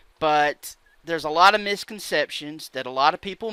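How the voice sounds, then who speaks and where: A man with an Alabama accent speaks in a bright, sharp tone with ordinary pitch variation, in a very clean recording with a silent background and a dry, close sound with no echo. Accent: Southern US (Alabama). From Alabama, US South. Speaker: YouTube commentator. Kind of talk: opinion vlog rant. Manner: halting, many fillers.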